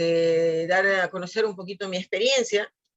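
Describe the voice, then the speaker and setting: At a moderate pace, a woman speaks in a plain, everyday voice at a medium pitch. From Peru. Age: 60s. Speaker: physiotherapist. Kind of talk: interview.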